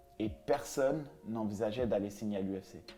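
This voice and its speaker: A man at medium pitch talks at a fairly quick pace with ordinary pitch variation while music plays in the background. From France, Paris suburbs (Vitry-sur-Seine). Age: 30s. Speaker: MMA fighter. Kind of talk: interview. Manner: hesitant, many fillers.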